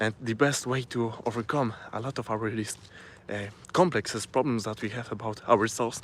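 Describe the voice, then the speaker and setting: A man with a Polish accent, medium-pitched, at a moderate pace with fairly even intonation. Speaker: self-improvement vlogger. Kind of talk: live stream talk to camera. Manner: halting, with many fillers and restarts.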